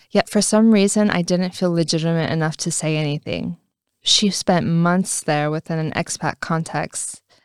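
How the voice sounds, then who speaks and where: A woman's fairly low voice in an American accent, with fairly even intonation and a dry, close sound with no echo. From California, US (Afghan family). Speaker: nonprofit executive. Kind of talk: personal storytelling narration.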